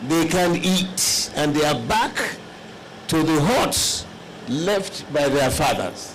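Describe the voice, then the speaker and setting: Loudness stays very even as the speaker goes at a very slow pace, with audible room echo and noticeable background noise. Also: man, fairly high pitch for a man, ordinary pitch variation. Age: 70s. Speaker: elder statesman, conference delegate. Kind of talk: formal speech at a conference.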